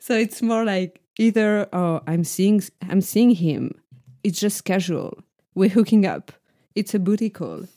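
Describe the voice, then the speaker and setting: A woman with a French accent speaks at a medium pitch and a fairly slow pace, her tone dark and mellow, her intonation fairly even. Long pauses come often, and the sound is dry and close with no echo. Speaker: podcast co-host. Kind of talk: casual chat.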